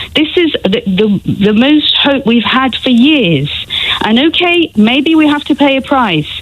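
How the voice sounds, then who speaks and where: Speaking in a British accent at a fairly slow pace, this voice has lively intonation and very even loudness, with noticeable background noise behind it. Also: woman, high pitch for a woman. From England. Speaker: caller. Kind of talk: heated debate.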